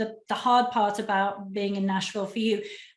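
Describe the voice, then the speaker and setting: A woman speaks in an English accent at a fairly quick pace. Her intonation stays fairly even. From England. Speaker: relocation specialist, interviewer. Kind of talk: interview conversation.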